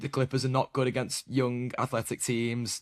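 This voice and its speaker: With a British accent, a man talks very fast in a monotone, flat delivery, and the sound is dry and close with no echo on a very clean recording with a silent background. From Britain. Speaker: basketball podcast host. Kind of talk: casual podcast interview.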